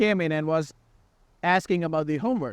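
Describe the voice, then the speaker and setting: Against a quiet background, a man speaks at a fairly quick pace and fairly high pitch, with ordinary pitch variation and a dry, close sound with no echo. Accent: American. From India. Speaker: student podcast host. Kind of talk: casual chat. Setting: outdoors in a park.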